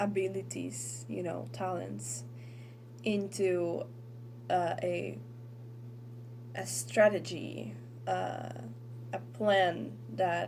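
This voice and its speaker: In an Argentine accent, a woman talks at a very slow pace with long, frequent pauses. Her very deep, low pitch swings very widely. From Argentina. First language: Spanish. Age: 20s. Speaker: tarot reader. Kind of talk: tarot reading talk to camera.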